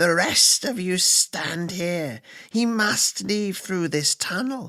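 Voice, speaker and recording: A put-on character voice at a middle pitch moves at a very slow pace. The sound carries a hissing quality. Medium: read story. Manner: hissing, sibilant.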